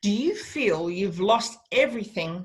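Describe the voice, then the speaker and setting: This is a woman talking. Her accent is Australian. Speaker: radio host. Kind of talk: radio interview. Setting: radio studio.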